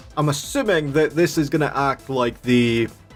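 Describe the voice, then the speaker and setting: The voice comes with a Scottish accent and ordinary pitch variation. Music plays in the background. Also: man. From Scotland. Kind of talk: casual talk to viewers.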